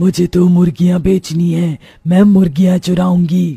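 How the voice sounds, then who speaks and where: A cartoonish character voice at a middle pitch moves along at a moderate pace. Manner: cackling, gleeful.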